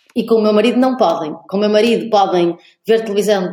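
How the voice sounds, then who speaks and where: A fairly high-pitched woman at a fairly quick pace. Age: 30s. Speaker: podcast co-host. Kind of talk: interview conversation. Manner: halting, many repetitions.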